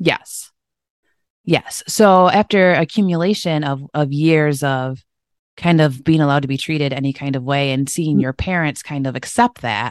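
A woman with a Midwestern American accent speaks at a moderate pace in a very deep, low voice with ordinary pitch variation. The sound is dry and close with no echo, over a quiet background. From Michigan, US. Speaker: health and wellness coach. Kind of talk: interview.

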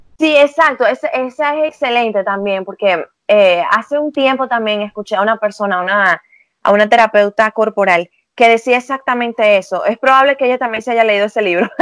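At a fairly quick pace, a woman speaks in a fairly high pitch with ordinary pitch variation, with a dry, close sound and no echo. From Venezuela. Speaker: psychologist. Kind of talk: casual interview. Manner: hesitant, filler-heavy.

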